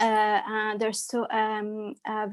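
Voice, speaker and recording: A woman in a French accent with fairly high pitch, against a quiet background. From France, Loire Valley. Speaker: holistic therapist. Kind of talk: interview. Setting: live stream from a pub. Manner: hesitant, many fillers.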